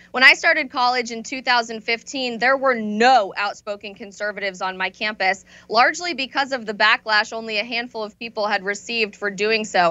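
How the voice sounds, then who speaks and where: An ordinary speaking voice with an American accent moves at a fairly quick pace. Its pitch variation is ordinary. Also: woman, fairly high pitch for a woman, hardly any pauses. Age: 20s. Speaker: conservative activist and author. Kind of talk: interview.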